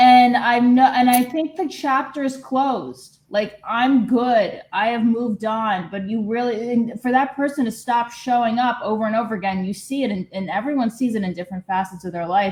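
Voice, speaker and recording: A woman talks at a moderate pace with hardly any pauses, in a plain, everyday voice. Her pitch is fairly high, with ordinary pitch variation. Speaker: group participant. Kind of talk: casual chat.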